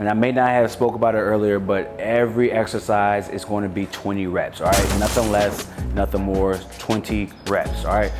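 A man with a fairly low voice speaks over clear background music. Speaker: fitness trainer. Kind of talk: tutorial. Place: garage.

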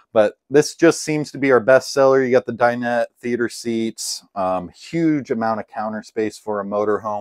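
A man at a moderate pace with hardly any pauses and ordinary pitch variation, in a dry sound with no echo and a quiet background. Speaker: RV salesman. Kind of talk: product walkthrough tour. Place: home room. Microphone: camera far.

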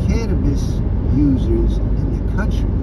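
Against loud background noise, a man speaks at a fairly slow pace in a dry sound with no echo. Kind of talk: casual vlog chat. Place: car. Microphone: phone near.

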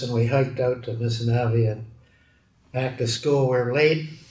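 A man talks at a moderate pace with a Canadian accent and a somewhat breathy sound. Room echo is audible. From Edmonton, Alberta, Canada. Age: 80s+. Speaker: metallurgist and steel industry pioneer. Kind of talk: oral history interview answer. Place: office.

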